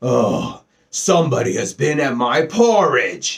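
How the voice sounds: A man puts on a character voice, pitched fairly high, at a fairly slow pace.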